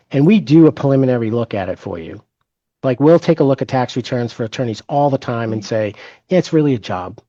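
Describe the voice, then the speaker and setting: Talking at a very fast pace, a man with a medium pitch and a dark, mellow tone uses lively intonation. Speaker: forensic financial expert. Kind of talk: webinar presentation. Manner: halting, many fillers and restarts.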